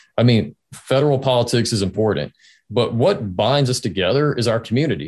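There is vocal fry in this man's medium-pitched voice, which carries lively intonation over a quiet background. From North Carolina, Greensboro. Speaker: state legislator. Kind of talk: interview.

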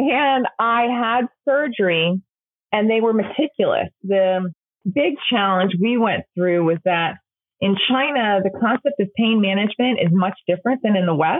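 Upbeat and lively in intonation, a woman speaks at a fairly slow pace and medium pitch with very even loudness. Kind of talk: interview.

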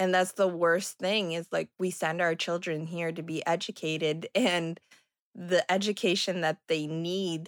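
A woman with an unremarkable speaking voice talks at a fairly slow pace and a fairly low pitch, her intonation fairly even, in a very clean recording with a silent background and a dry, close sound with no echo. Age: 30s. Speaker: parent of a bullied child. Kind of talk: interview.

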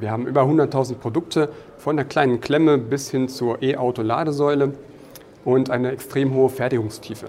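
A normal speaking voice, fairly even in intonation, moving at a moderate pace. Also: man, medium pitch for a man. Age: 30s. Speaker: product manager. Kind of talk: interview. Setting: conference.

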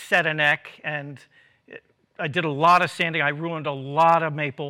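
With fairly even intonation, a man talks in an unremarkable speaking voice. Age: 60s. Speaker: guitar maker. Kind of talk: casual chat. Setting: studio.

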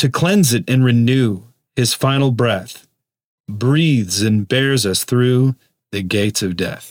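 Very slowly, a man talks at a medium pitch with ordinary variation. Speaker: podcast host. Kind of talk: meditation with a poem read aloud, in a hushed, solemn devotional tone. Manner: slow, reverent, measured, soft-spoken.

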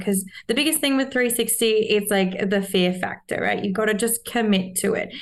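The woman's pitch moves in an ordinary way as she talks at a moderate speed. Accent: Australian. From Australia, Sydney. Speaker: Olympic mogul skier. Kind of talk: casual interview.

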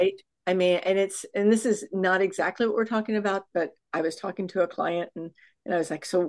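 At a fairly quick pace, a woman speaks at medium pitch with ordinary pitch variation against a quiet background. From Texas. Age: 60s. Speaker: fitness coach and author. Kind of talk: casual chat. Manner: animated.

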